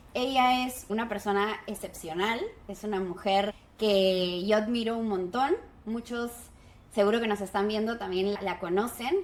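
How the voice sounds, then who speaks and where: Spoken at a fairly slow pace with fairly even intonation, this is a plain, everyday voice. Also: woman, fairly high pitch for a woman. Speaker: podcast host. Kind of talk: podcast interview.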